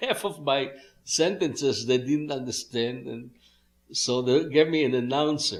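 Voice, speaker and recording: A man of medium pitch with a strong Israeli accent, at a moderate pace. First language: Hebrew. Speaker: musician. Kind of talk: interview. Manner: halting.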